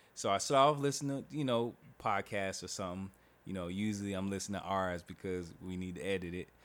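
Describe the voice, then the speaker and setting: Against a very clean recording with a silent background, a man with an American accent talks at a very fast pace in a fairly low pitch with ordinary pitch variation. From Oklahoma, US. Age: 30s. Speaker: podcast host. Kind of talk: casual chat. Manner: animated.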